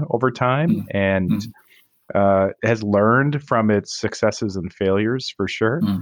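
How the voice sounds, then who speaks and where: An unremarkable speaking voice from a man, fairly low in pitch, with ordinary pitch variation and a moderate pace against a quiet background. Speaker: podcast co-host, sports scholar. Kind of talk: interview.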